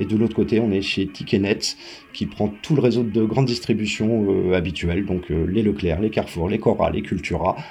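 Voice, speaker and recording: Against noticeable background noise, a man talks fairly quickly in a fairly low pitch with ordinary pitch variation. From Paris, France. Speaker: event organizer. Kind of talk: interview.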